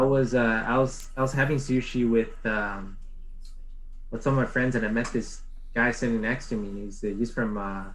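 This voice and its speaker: At a moderate pace, a man talks at medium pitch with audible room echo. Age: 20s. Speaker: podcast guest, content creator. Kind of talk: casual chat. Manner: animated, many fillers.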